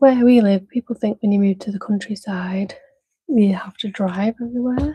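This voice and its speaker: A woman speaks at a moderate pace with a Manchester accent, her medium-pitched voice dark and mellow, somewhat breathy, and fairly even in intonation, recorded dry and close with no echo. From Manchester, northern England. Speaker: craft livestreamer. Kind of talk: casual live-stream chat while crafting. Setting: live stream. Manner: calm, gentle.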